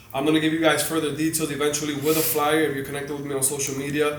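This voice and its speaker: Noticeable background noise and audible room echo both come through in this recording. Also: man. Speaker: motivational speaker and community organizer. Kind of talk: interview. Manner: animated.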